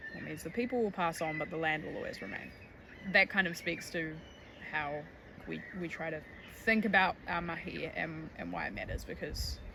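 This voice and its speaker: A woman speaks with long, frequent pauses amid audible room echo and noticeable background noise. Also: moderate pace. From New Zealand. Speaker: tour guide and conservation educator. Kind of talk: documentary interview.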